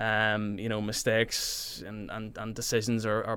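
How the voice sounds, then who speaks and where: Over a silent background in a very clean recording, a man talks at a medium pitch in an ordinary speaking voice. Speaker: football referee. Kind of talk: radio interview.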